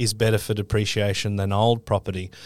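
A man with an Australian accent speaks at a fairly low pitch and a moderate pace. The recording is very clean with a silent background. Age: 40s. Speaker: quantity surveyor guest.

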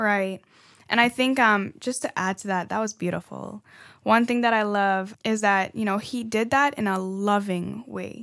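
Fairly even in intonation, a woman speaks at a moderate pace. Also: medium pitch for a woman. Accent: slight Trinidadian. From Trinidad. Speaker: podcast co-host. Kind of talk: casual chat.

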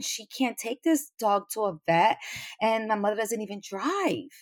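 On a very clean recording with a silent background, a woman with a New York accent talks at a moderate pace, her fairly high pitch showing ordinary variation. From New York City. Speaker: podcast listener. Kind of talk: interview.

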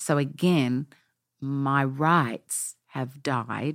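Recorded very clean with a silent background and a dry, close sound with no echo, a woman speaks with a very deep, low pitch and fairly even intonation. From Australia. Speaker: pastor. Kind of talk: interview.

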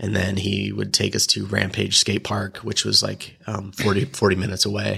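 A man speaking with hardly any pauses, over noticeable background noise. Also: moderate pace. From Illinois, small farm town. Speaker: photographer and filmmaker. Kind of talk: casual chat.

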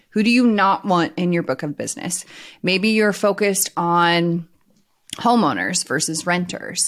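Recorded very cleanly against a silent background, a woman with an ordinary speaking voice talks at a fairly slow pace, her pitch fairly low with ordinary pitch variation. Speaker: insurance coach and podcast host. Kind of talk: casual co-hosted podcast chat.

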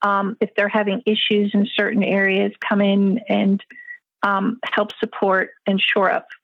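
Somewhat breathy and medium in pitch, a woman speaks at a fairly slow pace with monotone, flat intonation, the sound dry and close with no echo. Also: very even loudness. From international upbringing, born in South Africa. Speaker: economic development consultant. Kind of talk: interview conversation. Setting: remote call.

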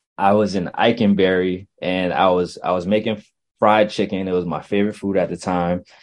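A man speaks in a plain, everyday voice at a moderate pace. His pitch is fairly low, and the background is quiet. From Virginia (Chesapeake / Virginia Beach), born in Brooklyn. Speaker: student affairs professional. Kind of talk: interview.

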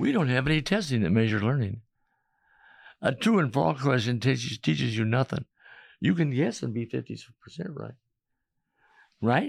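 A man's medium-pitched voice with vocal fry, lively intonation, moderate pace and long, frequent pauses. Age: 80s+. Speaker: retired-age educator and philanthropist. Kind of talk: interview, storytelling. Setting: studio.

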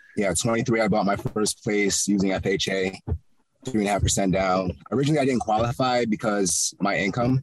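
A man with a plain, everyday voice and an American accent speaks at a fairly low pitch with ordinary pitch variation. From Connecticut. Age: 20s. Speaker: real estate investor. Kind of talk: interview. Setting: outdoors in a park.

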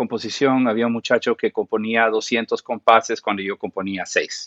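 This man speaks at a moderate pace with fairly even intonation. He has a normal speaking voice. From Central America (Guatemala, Costa Rica, Panama). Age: 40s. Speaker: film and TV composer. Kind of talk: interview.

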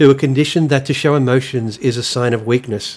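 A man talks very fast with an Australian accent and fairly even intonation. The recording is very clean, with a silent background. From Australia, rural New South Wales. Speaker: podcast host. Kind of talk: personal monologue.

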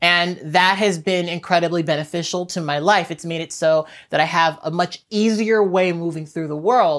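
In a very clean recording with a silent background, a woman with a fairly low pitch uses a normal speaking voice, fairly even intonation and a moderate pace. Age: 30s. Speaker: YouTuber and podcast host. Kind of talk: solo vlog monologue. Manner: conversational.

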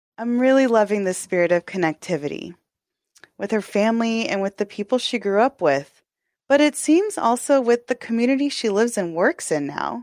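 In an American accent, a woman with an ordinary speaking voice talks at a fairly high pitch, with lively intonation and a fairly quick pace. The recording is very clean, with a silent background and a dry, close sound with no echo. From Texas. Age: 30s. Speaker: podcast host. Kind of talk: scripted narration.

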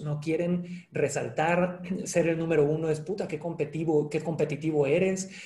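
At a moderate pace, a man talks with a fairly high pitch and a dark, mellow tone. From Mexico (Cancún). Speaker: sales trainer and author. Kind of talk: casual interview.

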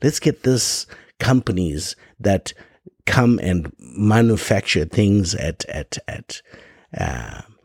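Pitch swings very widely as a man with an African accent talks in a fairly low voice. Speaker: podcast host. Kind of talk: monologue commentary. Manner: animated.

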